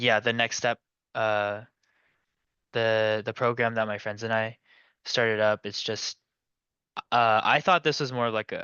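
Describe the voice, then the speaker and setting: Long, frequent pauses break up this man's fairly slow speech. His pitch is medium and his intonation fairly even. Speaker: transfer student seeking coaching. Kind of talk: coaching session conversation. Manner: halting.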